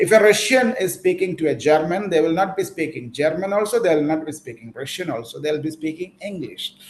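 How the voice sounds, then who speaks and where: A man with a Keralan accent at a fairly quick pace. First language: Malayalam. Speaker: English teacher. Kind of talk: online class lecture.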